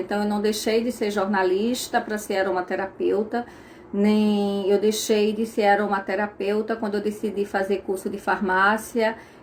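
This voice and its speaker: Against noticeable background noise, a woman with a Pernambuco accent speaks fairly slowly at a fairly high pitch. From Brazil, Pernambuco. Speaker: aromatherapist. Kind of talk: casual talk to viewers, live stream. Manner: conversational, with fillers.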